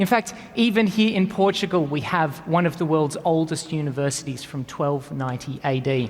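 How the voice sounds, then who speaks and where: The speaker has an Australian accent and talks at a moderate pace. The intonation is lively. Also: man. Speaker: engineering professor; conference speaker, engineering lecturer. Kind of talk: conference keynote talk.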